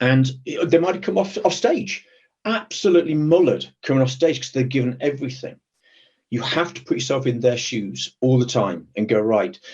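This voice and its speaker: With a British accent, a somewhat breathy man talks at a moderate pace with lively intonation. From Britain. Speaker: executive protection professional. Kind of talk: webinar interview. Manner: hesitant, repeats words.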